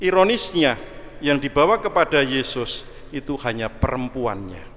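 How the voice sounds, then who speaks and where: A man speaks at a moderate pace with very wide pitch swings. Noticeable background noise sits behind him. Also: fairly high pitch for a man. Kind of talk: sermon. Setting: church.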